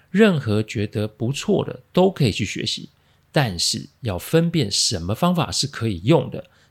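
A man speaks in a Taiwanese accent with a serious, somewhat breathy tone and very wide pitch swings. The recording is very clean, with a silent background. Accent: Taiwanese Mandarin. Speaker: podcast host, crisis management consultant. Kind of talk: monologue, case analysis. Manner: low, serious tone today.

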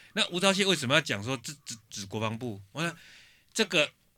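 On a very clean recording with a silent background, a man with a fairly high, bright, sharp voice talks at a moderate pace with very wide pitch swings. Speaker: political podcast host. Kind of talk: casual chat.

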